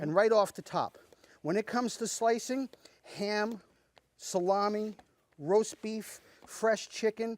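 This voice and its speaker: A man's high-pitched, upbeat voice, with long, frequent pauses and a dry, close sound free of echo. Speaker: chef. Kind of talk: infomercial product demonstration. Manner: fast, upbeat, salesman patter.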